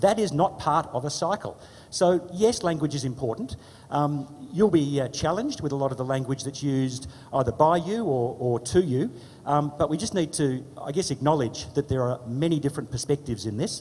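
In an Australian accent, a man talks at a fairly quick pace with a fairly high pitch, somewhat breathy and with lively intonation. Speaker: politician. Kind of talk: panel presentation. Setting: stage with audience.

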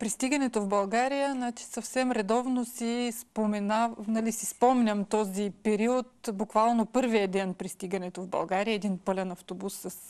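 A woman speaks with fairly even intonation. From Bessarabian Bulgarian village, Odesa region, Ukraine; Ukraine. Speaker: educator and mother; educator. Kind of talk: interview. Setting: studio. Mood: calm, reminiscing. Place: studio.

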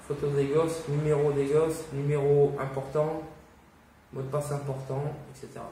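Room echo is audible, along with light background noise. A man with a fairly high pitch speaks at a fairly slow pace. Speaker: YouTuber, survivalist; vlogger. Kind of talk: casual video monologue. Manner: casual, hesitant. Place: home room. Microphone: camera far.

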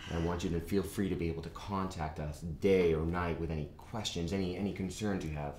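A man with a very deep, low pitch speaks with fairly even intonation, with audible room echo and light background noise. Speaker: lawyer in a scripted scene. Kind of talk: acted dialogue. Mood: reassuring, businesslike. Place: meeting room.

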